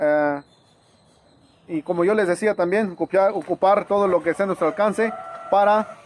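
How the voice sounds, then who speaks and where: Over noticeable background noise, a man with an Oaxacan accent speaks at a high pitch and a fairly slow pace. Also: dry, close sound with no echo. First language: Zapotec (speaking Spanish). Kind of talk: informal educational talk to camera. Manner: halting, many fillers and restarts.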